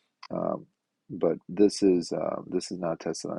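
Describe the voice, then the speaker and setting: A quiet man, in a dry, close sound with no echo. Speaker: math teacher. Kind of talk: lecture. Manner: fast.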